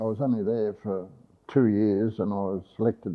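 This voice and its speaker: A man speaks with an Australian accent. His pitch sits fairly low. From Victoria, Australia. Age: 80s+. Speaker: retired tourism operator. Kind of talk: interview answer.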